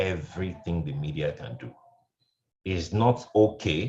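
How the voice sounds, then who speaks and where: A man speaks with lively intonation. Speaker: radio programs manager, panelist. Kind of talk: panel discussion. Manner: loud; animated.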